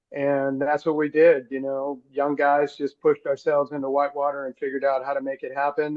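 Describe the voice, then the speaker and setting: A man with an American accent talks at a moderate pace in a fairly high pitch. His intonation is monotone and flat. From Los Angeles, South Central (Crenshaw). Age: 60s. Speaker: surf organization co-founder, surfer. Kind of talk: interview storytelling. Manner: relaxed, with many fillers.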